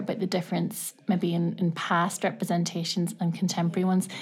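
In a very clean recording with a silent background, a woman speaks at a fairly quick pace with hardly any pauses, her slightly breathy voice held at a very even loudness. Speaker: university lecturer. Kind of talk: interview conversation. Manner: hesitant, many fillers.

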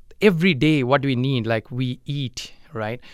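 With an Indian accent, a man speaks at a fairly high pitch with ordinary pitch variation, recorded very cleanly against a silent background. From India, small village. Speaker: soil scientist, professor. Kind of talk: radio interview. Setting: radio studio.

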